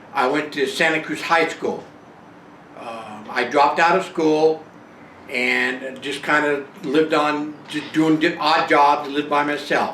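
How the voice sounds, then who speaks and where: Audible room echo and noticeable background noise surround the voice. The intonation is fairly even. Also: man. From northern California (Bay Area). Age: 70s. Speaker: retiree telling his life story. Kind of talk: personal memoir monologue. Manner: halting, many fillers.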